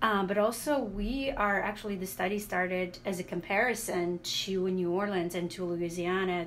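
A woman speaks at a moderate pace with fairly even intonation, and noticeable background noise is present. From Latvia. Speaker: social work professor and author. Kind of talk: radio interview. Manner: halting, many fillers.

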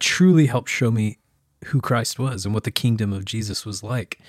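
A man with an American accent talks at a moderate pace, his intonation lively and his voice somewhat breathy. The recording is very clean with a silent background, and the sound is dry and close with no echo. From US small town. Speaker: podcast co-host, pastor. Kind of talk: casual chat.

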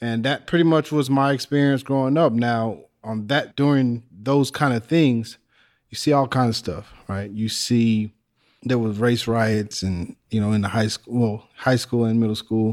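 A man's plain, everyday voice with an American accent, medium in pitch with ordinary pitch variation, at a fairly slow pace on a very clean recording with a silent background. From Texas, near the Mexican border. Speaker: musician and former inmate. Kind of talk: panel discussion.

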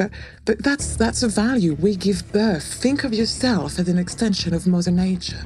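A woman of medium pitch speaks at a moderate pace with ordinary pitch variation, with noticeable background noise behind her. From France. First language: French. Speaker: script supervisor. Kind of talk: interview storytelling. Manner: animated.

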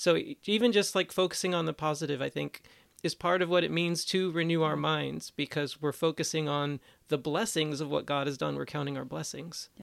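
This man has an unremarkable speaking voice with a fairly high pitch. He moves at a fairly quick pace with ordinary pitch variation. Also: very clean recording, silent background. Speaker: ethics director, podcast co-host. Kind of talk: casual panel chat.

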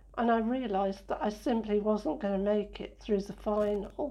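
Medium in pitch and somewhat breathy, a woman's voice has a dark, mellow tone. She talks at a moderate pace with fairly even intonation. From northern England, Sheffield. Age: 60s. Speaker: blind interviewee, former physiotherapist. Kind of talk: interview.

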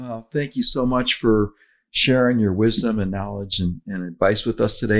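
An unremarkable speaking voice from a man, fairly low in pitch, fairly even in intonation, at a fairly quick pace, on a very clean recording with a silent background. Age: 60s. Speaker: podcast host, weight loss author. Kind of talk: casual chat.

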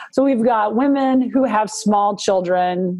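Her intonation lively and her pitch fairly high, a woman talks in a normal speaking voice. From Montana. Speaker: political organization president. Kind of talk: interview conversation.

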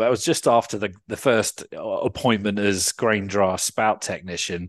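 The voice carries a southern English accent with ordinary pitch variation. The background is quiet. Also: man. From Surrey, England. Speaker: farmer and former radio journalist. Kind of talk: interview conversation.

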